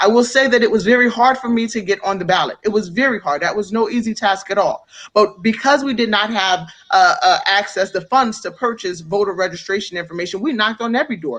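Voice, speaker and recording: Talking at a very fast pace, a woman with an American accent speaks at a fairly high pitch. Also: lively intonation. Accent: New York accent, some Baltimore. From New York (upstate). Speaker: political candidate. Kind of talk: interview.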